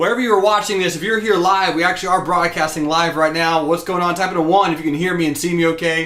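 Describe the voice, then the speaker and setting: A man with an American accent talks at a very fast pace in an energetic, enthusiastic tone, pitched high for a man, with hardly any pauses and noticeable background noise. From US South (rural Georgia). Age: 20s. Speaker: stock trading teacher. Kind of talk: live-streamed class. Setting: live broadcast at home desk.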